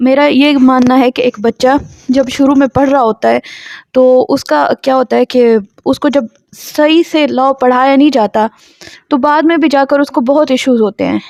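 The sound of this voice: Dry and close with no echo, a woman's high-pitched voice moves at a moderate pace with fairly even intonation and a slightly mellow tone.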